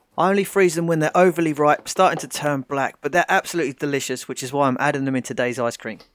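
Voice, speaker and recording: Very fast and fairly high-pitched, a man with a British accent speaks with ordinary pitch variation in a dry, close sound with no echo. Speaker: home cooking vlogger. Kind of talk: tutorial. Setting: home kitchen.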